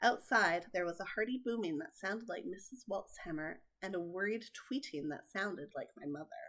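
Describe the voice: The text is read aloud plainly. Its intonation is lively.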